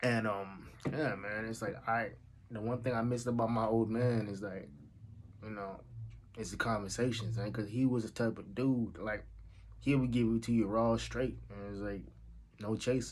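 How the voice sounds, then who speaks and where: A man at a medium pitch speaks at a moderate pace with fairly even intonation, leaving long, frequent pauses, and the room echo is audible. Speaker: vlogger. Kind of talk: casual vlog monologue. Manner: casual, halting with fillers.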